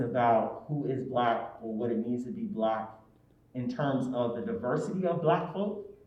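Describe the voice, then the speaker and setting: A man's lively intonation rings out amid audible room echo. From New Jersey. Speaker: academic panelist. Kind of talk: panel discussion.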